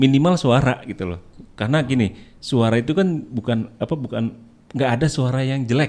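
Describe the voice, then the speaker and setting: A man with a medium pitch speaks at a fairly quick pace, with ordinary pitch variation and an ordinary speaking voice. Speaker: voice-over and dubbing artist. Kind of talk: casual chat.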